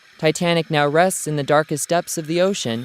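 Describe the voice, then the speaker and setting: A man with an unremarkable speaking voice, fairly high pitch and a fairly quick pace, in a dry, close sound with no echo. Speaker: TV news reporter and anchor. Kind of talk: TV news report voice-over.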